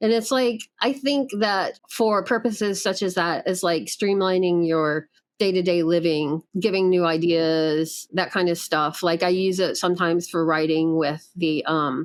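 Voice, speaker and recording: Using an unremarkable speaking voice, a woman talks at a fairly low pitch and fairly slow pace with ordinary pitch variation and very even loudness, in a very clean recording with a silent background. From US South. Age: 50s. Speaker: artist. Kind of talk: casual chat.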